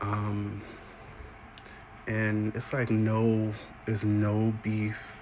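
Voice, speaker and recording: A man speaks very slowly in a fairly low pitch, his intonation monotone and flat, with long, frequent pauses. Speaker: singer and content creator. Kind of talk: casual vlog monologue. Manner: casual with many fillers.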